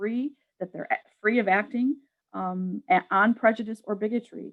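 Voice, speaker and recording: A woman with a New York accent speaks at a fairly high pitch, the sound dry and close with no echo. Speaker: public health program staff. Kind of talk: webinar presentation. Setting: online webinar. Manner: fast.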